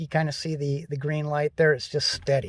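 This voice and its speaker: This is a man speaking. He has a Minnesota accent. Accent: Upper Midwest (Minnesota). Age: 60s. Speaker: DIY vehicle repair vlogger. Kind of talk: casual how-to vlog. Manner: halting, many fillers and repeats.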